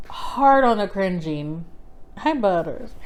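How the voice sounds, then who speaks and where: A woman talks with lively intonation. Some room echo can be heard. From South Texas. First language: Spanish. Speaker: book vlogger. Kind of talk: casual book review vlog. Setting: indoors by the fire. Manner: casual, filler-heavy.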